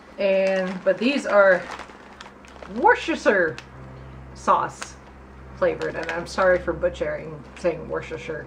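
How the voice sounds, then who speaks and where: Speaking with an American accent, a woman goes at a fairly slow pace with long, frequent pauses over noticeable background noise. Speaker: video blogger. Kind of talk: casual chat.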